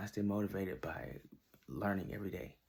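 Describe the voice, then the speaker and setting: A man's very deep, low voice with vocal fry, at a fairly quick pace. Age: 30s. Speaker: R&B singer and songwriter. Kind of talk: self-interview answering questions. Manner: casual, with filler words.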